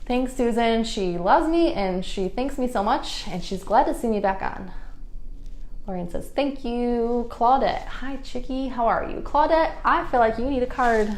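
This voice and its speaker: A woman with a high pitch and lively intonation speaks amid noticeable background noise and audible room echo. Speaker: psychic card reader. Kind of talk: live stream reading. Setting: live stream. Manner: fast.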